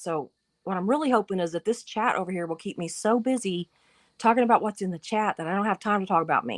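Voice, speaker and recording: Speaking very fast in a Southern US accent, a woman sounds animated at a medium pitch with ordinary pitch variation. The sound is dry and close, with no echo. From US South. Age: 50s. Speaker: YouTube live streamer. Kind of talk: casual live-stream chat. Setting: live stream.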